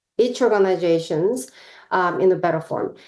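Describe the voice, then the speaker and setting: Speaking in a Korean accent, a woman keeps a moderate pace. Her pitch sits in the medium range, with fairly even intonation. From South Korea. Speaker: professor. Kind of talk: lecture. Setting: video call.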